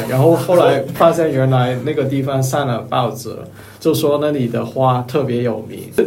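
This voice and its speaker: A man with a Cantonese accent speaks at a medium pitch and moderate pace with ordinary pitch variation, amid noticeable background noise and audible room echo. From Hong Kong. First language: Cantonese (speaking Chinese). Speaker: office worker. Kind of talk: casual chat.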